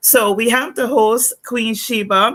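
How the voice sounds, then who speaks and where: A woman with a Guyanese accent speaks in a bright, sharp tone. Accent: Guyanese Caribbean English. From Guyana. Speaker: talk show host. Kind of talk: live-stream interview.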